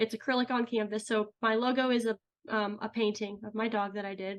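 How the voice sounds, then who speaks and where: A woman with an American accent speaks in a plain, everyday voice. Her pitch is fairly high and her pace moderate. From US Midwest, St. Louis area, Missouri. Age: 30s. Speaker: ceramic artist and podcast host. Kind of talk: interview, casual chat.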